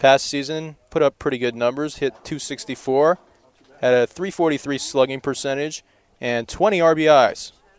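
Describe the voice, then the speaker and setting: In a normal speaking voice, a man talks at a moderate pace with a fairly high pitch, fairly even intonation and big swings in loudness, the sound dry and close with no echo. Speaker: baseball play-by-play announcer. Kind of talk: live sports play-by-play broadcast.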